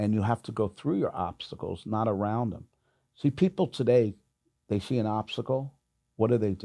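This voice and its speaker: Speaking at a moderate pace, a man with an American accent has a medium pitch and a dark, mellow tone. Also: ordinary pitch variation. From New York. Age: 60s. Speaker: clothing store owner and salesman. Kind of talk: casual interview chat.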